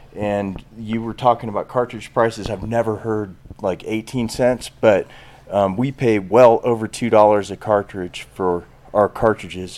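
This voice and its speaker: A normal speaking voice at a moderate pace with fairly even intonation. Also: man. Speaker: brand founder. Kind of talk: casual interview chat.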